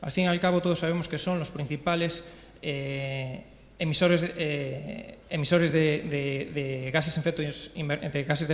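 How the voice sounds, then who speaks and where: There is audible room echo as a man speaks in a fairly high pitch with fairly even intonation. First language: Spanish. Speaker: regional government official. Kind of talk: panel discussion. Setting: conference panel. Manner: halting.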